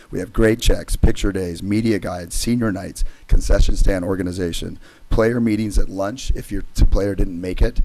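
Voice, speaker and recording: A man's voice has a dark, mellow tone, a fairly low pitch and fairly even intonation. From California, Santa Barbara area. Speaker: high school basketball coach. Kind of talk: public comment at board meeting. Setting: public meeting.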